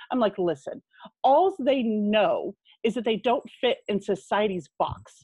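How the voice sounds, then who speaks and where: Somewhat breathy and fairly high in pitch, a woman with an American accent speaks at a fairly slow pace with lively intonation. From California (San Diego). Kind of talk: casual chat.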